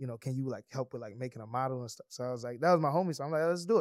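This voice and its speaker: Recorded very cleanly against a silent background, a man with a Virgin Islands accent speaks at medium pitch with a dry, close sound and no echo. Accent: Virgin Islands Creole-tinged English. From US Virgin Islands, St. Croix. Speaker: entrepreneur. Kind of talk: casual chat.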